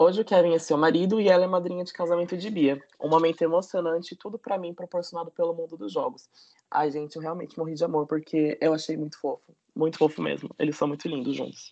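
At a very fast pace, a man speaks at a high pitch with a dark, mellow tone and fairly even intonation. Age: 20s. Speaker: podcast guest. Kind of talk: scripted news-style reading.

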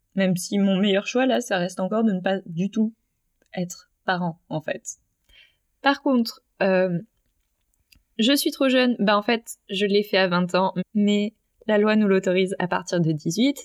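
Dry and close with no echo, a woman's voice moves at a fairly slow pace with medium pitch and ordinary pitch variation. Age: 20s. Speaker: interviewee on voluntary sterilisation. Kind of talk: personal testimony interview.

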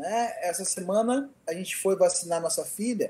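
This man's voice sits high in pitch. His tone is dark and mellow. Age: 20s. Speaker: blind IT instructor and pedagogy student. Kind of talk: casual interview chat.

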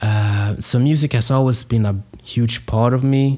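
Speaking very slowly with a Swedish accent, a man has a dark, mellow tone and ordinary pitch variation. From Sweden. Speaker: podcast host, hip-hop producer and rapper. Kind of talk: solo podcast monologue. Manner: casual with many fillers and hesitations.

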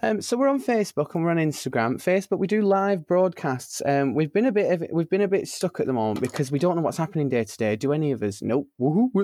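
A man with a Lancashire accent talks very fast with hardly any pauses, his high voice swinging very widely in pitch over a dark, mellow tone, recorded dry and close with no echo against a quiet background. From northern England, Burnley, Lancashire. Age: 20s. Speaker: drag performer. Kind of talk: casual chat. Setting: home studio. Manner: animated.

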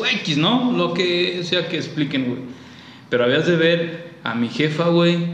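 Through noticeable background noise and audible room echo, a man speaks at a high pitch and a fairly slow pace, with ordinary pitch variation. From Guanajuato, central Mexico. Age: 30s. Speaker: childhood friend of host. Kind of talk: casual chat.

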